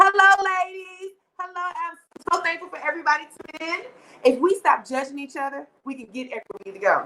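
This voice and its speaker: The speaker uses a raised, projected voice at a very fast pace, animated in tone, with big swings in loudness. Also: woman, extremely high pitch for a woman. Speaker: livestream talk show host. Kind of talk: casual live chat. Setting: live stream.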